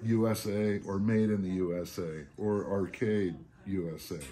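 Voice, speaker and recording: There is light background noise. The man's fairly low voice keeps a fairly even intonation. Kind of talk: informal explainer on spotting reproductions. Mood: relaxed, chatty. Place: shop. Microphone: phone near.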